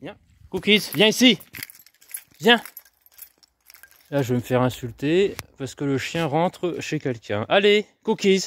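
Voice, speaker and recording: A man at a high pitch, very slow in pace, with long, frequent pauses, very wide pitch swings, big swings in loudness and a dry, close sound with no echo. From France, Moselle (north-east). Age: 30s. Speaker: local councillor and vlogger. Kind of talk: casual live vlog answering viewer questions. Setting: outdoors, walking street delivering flyers. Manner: hesitant, many fillers.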